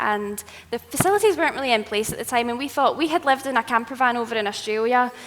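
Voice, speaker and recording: Over noticeable background noise, a woman with a strong Scottish accent talks very fast at a fairly high pitch with ordinary pitch variation. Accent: thick Scottish. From Scotland. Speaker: travel content creator and writer. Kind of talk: live presentation.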